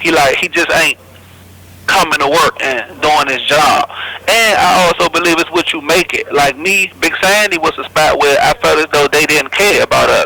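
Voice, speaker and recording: A moderate pace with a dry, close sound and no echo, amid noticeable background noise. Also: man. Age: 20s. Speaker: federal prison inmate. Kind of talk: interview.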